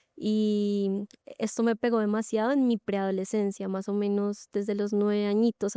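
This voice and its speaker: Monotone, flat intonation from a woman at a medium pitch and moderate pace. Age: 20s. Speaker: church member sharing testimony. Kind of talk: testimony.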